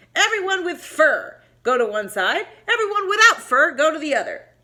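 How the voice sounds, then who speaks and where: A woman puts on a character voice at an extremely high pitch, growling as it makes very wide pitch swings. She keeps a moderate pace. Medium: read story. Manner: snarling.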